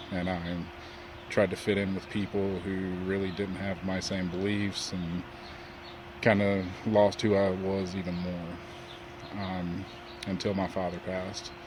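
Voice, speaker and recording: Over audible room echo, a man with a Southern US accent speaks at a fairly slow pace with a very deep, low pitch and monotone, flat intonation. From US South, North Carolina. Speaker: web designer sharing personal story. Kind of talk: personal testimony.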